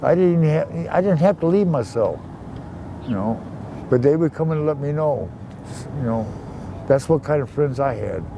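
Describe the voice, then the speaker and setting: A man with an American accent talks at a moderate pace and a fairly high pitch, with ordinary pitch variation. He leaves long, frequent pauses, and there is noticeable background noise. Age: 60s. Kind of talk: casual interview. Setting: outdoors.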